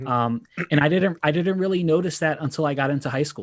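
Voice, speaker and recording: A man with a normal speaking voice and a fairly high pitch keeps a moderate pace, his pitch varying in an ordinary way. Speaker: board game content creator. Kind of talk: panel discussion, personal story.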